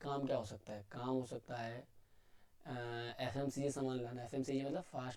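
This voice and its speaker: With a dark, mellow tone and medium pitch, the man speaks at a fairly slow pace in a monotone, flat intonation. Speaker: online lecturer. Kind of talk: tutorial lecture.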